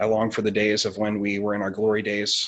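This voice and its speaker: A man speaks in an American accent at a moderate pace. His pitch sits fairly low. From Oregon, Douglas County. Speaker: state senator candidate. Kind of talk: candidate forum opening statement. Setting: video call. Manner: halting.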